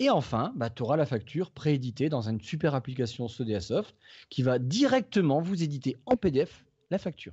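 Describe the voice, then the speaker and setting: With a northern French accent, a man speaks at a moderate pace in a fairly high, somewhat breathy voice with lively intonation. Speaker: tech podcast co-host. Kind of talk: casual tech discussion with guided software walkthrough. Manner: animated.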